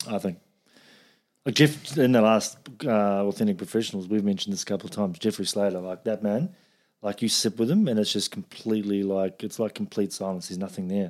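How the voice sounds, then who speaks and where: In a New Zealand accent, a man with a fairly low pitch talks at a very fast pace with ordinary pitch variation on a very clean recording with a silent background. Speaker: podcast host. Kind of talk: casual chat.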